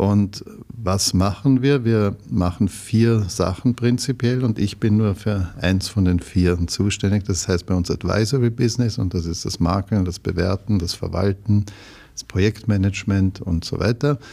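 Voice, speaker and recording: A man speaks with a fairly low pitch and a dark, mellow tone. His pace is fairly slow. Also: ordinary pitch variation. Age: 60s. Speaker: real estate executive. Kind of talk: interview.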